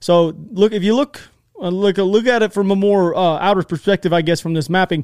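Recorded very cleanly with a silent background, dry and close with no echo, a man speaks at a high pitch in an animated tone, with ordinary pitch variation and a fairly quick pace. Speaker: YouTube war news commentator. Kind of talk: news commentary with map. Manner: fast.

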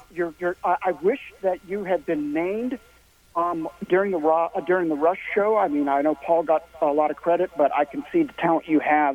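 Recorded with a dry, close sound and no echo, a man with an American accent speaks at a moderate pace in a high pitch, showing ordinary pitch variation over noticeable background noise. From Missouri. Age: middle-aged. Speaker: caller. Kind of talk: call-in chat. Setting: phone call.

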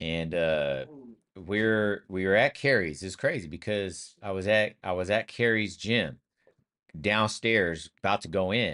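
A man with an American accent, very deep and low in pitch, with a bright, sharp tone at a fairly slow pace. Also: ordinary pitch variation. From US West Coast, Sacramento, California. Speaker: former pro basketball player, podcast co-host. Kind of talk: casual chat.

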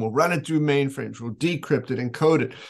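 With a normal speaking voice, a man talks at a fairly quick pace, his fairly high pitch showing ordinary variation. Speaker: video show host. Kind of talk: casual interview chat.

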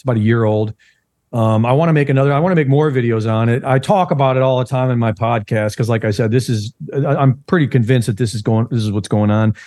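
Talking at a very fast pace, a man uses ordinary pitch variation. His tone is dark and mellow. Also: medium pitch for a man. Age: 60s. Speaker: investigative journalist. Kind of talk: conspiracy podcast interview. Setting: remote call.

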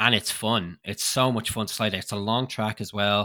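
Recorded very cleanly with a silent background and a dry, close sound with no echo, a man speaks at a moderate pace in a bright, sharp tone with a fairly low pitch. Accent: Irish. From Ireland. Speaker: skeleton racer. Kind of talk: interview.

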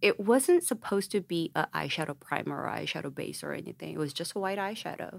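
A woman with a Korean accent, fairly quick and with hardly any pauses. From South Korea, Daegu. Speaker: cosmetics entrepreneur. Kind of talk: interview.

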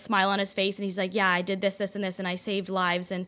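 A woman's medium-pitched voice with a Canadian accent, very fast, on a very clean recording with a silent background. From Toronto, Canada. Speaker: wellness content creator and health coach. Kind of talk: casual interview chat. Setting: studio.

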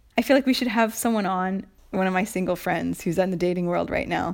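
Speaking in a plain, everyday voice, a woman with an American accent talks at medium pitch and a fairly quick pace. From United States. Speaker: podcast co-host and writer. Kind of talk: casual chat.

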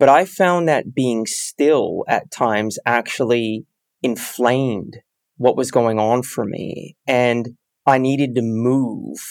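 The speech, in an American accent, moves at a very slow pace. The recording is very clean, with a silent background. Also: man, medium pitch for a man, ordinary pitch variation. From US West Coast, San Francisco Bay Area. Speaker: habits coach and sales trainer in recovery from addiction. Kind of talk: casual interview conversation.

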